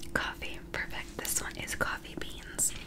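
Whispering softly at a fairly slow pace, a woman is heard over loud background noise. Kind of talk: soft-spoken role-play to viewer. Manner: soft-spoken ASMR near-whisper. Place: home room.

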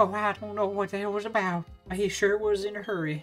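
Faint music plays in the background. Someone performs a put-on character voice at a fairly quick pace. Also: female-sounding voice, medium pitch for a woman. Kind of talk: warm, chatty.

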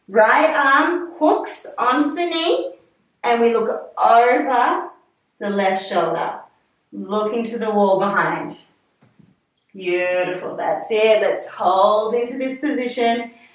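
Amid audible room echo, a woman with a fairly high voice talks very slowly, her pitch swinging very widely between long, frequent pauses. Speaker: fitness instructor. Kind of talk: guided pilates class. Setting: video call. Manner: calm, soothing; steady, rhythmic cueing with countdowns. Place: home room.

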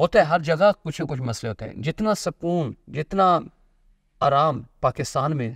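Over a silent background in a very clean recording, a man speaks at a moderate pace with a fairly high pitch. His intonation is lively and his tone fairly bright.

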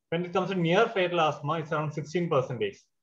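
A high-pitched man talks at a fairly quick pace. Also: quiet background. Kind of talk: lecture. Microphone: webcam.

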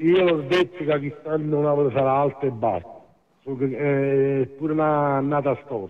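At a fairly slow pace, a man speaks in a fairly high pitch with ordinary pitch variation over a quiet background. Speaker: caller. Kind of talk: heated debate commentary. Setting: phone call. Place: studio.

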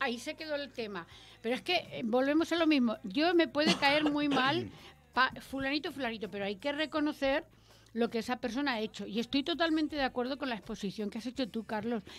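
At a fairly quick pace, a woman talks with lively intonation at a high pitch. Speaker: radio host. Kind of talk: panel discussion. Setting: radio studio. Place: studio. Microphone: studio mic.

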